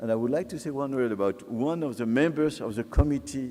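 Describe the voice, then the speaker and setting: A man with a French accent, a medium pitch and a dark, mellow tone, at a fairly quick pace with ordinary pitch variation. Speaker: sociologist. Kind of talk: lecture. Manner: halting.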